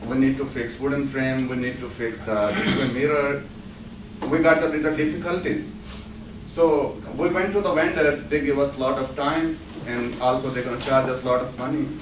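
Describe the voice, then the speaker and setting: A speaker with a Pakistani accent talks at a moderate pace with ordinary pitch variation, amid noticeable background noise and audible room echo. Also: man, fairly high pitch for a man. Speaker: student presenter. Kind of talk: class project presentation.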